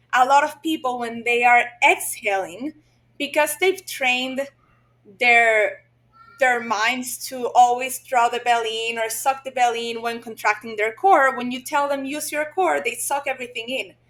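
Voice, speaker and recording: Her voice high-pitched, a woman with a Spanish accent speaks with ordinary pitch variation. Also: moderate pace. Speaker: physical therapist. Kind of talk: podcast interview.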